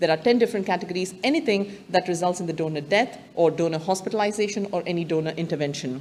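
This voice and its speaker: A woman's fairly low voice at a very fast pace, with ordinary pitch variation and hardly any pauses. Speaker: medical director. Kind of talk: conference presentation. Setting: stage with audience.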